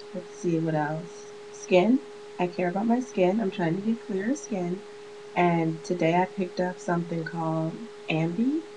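An American accent at a moderate pace, ordinary pitch variation, and noticeable background noise. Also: woman, medium pitch for a woman. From Chicago. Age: 20s. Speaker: beauty vlogger; vlogger. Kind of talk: casual vlog monologue. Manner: chatty, rambling with fillers and laughs. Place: home room. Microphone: webcam.

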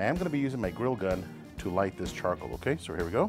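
Clear music plays in the background. Over it, a man with a fairly low pitch speaks at a very fast pace. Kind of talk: cooking tutorial. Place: garden.

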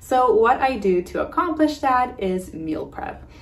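A woman is talking. Faint music plays in the background. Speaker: homemaking vlogger. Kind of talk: casual vlog intro. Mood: warm, friendly. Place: home room.

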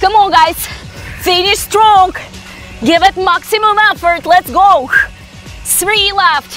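A woman speaks in a raised, projected voice at a very slow pace. Faint music plays in the background. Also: dry sound with no echo. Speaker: fitness instructor. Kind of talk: workout coaching cues. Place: garden.

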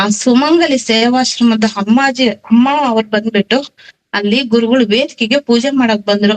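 A woman's normal speaking voice, fairly high in pitch, with very even loudness and fairly even intonation. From Karnataka, small town near Chikmagalur. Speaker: devotee sharing experiences. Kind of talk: testimony.

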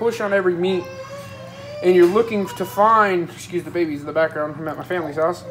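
A woman at a fairly quick pace over light background noise. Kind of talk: tutorial. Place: kitchen. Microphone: phone near.

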